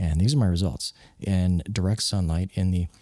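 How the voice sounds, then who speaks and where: Soft-spoken, with a very deep, low pitch and a dark, mellow tone, a man talks at a moderate pace with ordinary pitch variation, the sound dry and close with no echo. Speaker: software developer and hobby wedding videographer. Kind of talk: casual vlog talk. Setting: home workspace at night. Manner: hushed, soft-spoken; halting with fillers.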